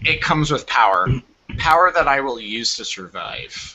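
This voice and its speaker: A man uses a put-on character voice pitched at a medium level. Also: moderate pace. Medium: actual play. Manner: solemn, brooding.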